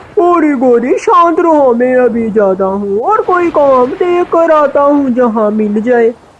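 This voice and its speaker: Using a cartoonish character voice, a woman speaks high and fairly slowly with hardly any pauses. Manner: sly, bullying.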